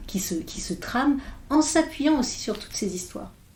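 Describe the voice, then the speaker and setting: With a dark, mellow tone, a woman speaks at a moderate pace. Her intonation is lively and her voice somewhat breathy. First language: English (speaking French). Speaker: philosopher. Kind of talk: podcast interview. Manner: halting, many hesitations.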